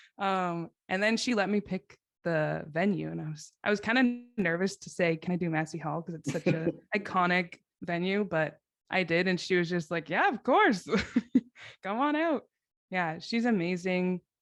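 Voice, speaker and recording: A woman with a Canadian accent talks at a moderate pace in an ordinary speaking voice. Her pitch is medium and varies in an ordinary way. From Milton, Ontario, Canada. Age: 20s. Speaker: singer-songwriter. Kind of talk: interview answer. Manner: casual, chatty.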